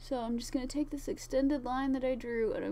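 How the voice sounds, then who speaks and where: A woman at a high pitch, with audible room echo. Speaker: cosplayer. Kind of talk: tutorial. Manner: slurred.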